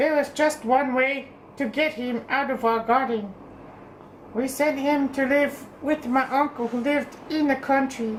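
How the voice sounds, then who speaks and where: A woman with a high voice speaks at a moderate pace with fairly even intonation over clear background noise. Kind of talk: bedtime story. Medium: read story. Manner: gentle, measured reading.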